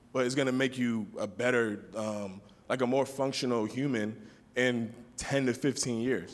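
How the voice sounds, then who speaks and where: A man talks at a moderate pace at medium pitch. He has an unremarkable speaking voice with fairly even intonation. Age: 20s. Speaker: community forum participant. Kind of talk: group discussion.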